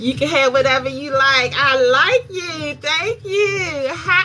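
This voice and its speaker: A woman with a slight Southern US accent speaks at a very slow pace in a raised, projected voice. Music plays in the background. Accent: slight Southern country. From North Carolina, US South. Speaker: makeup artist. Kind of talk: livestream makeup tutorial. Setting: live stream at night.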